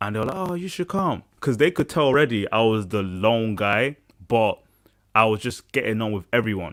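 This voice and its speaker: In a British accent, a man speaks with an animated tone and very wide pitch swings. The recording is very clean, with a silent background. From UK. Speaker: podcast host. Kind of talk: casual chat.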